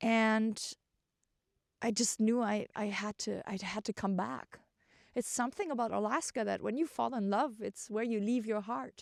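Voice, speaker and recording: A woman with a German accent, fairly high in pitch with ordinary pitch variation, at a moderate pace in a dry, close sound with no echo. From Germany. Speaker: vlogger. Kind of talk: personal storytelling. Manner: hesitant, many fillers.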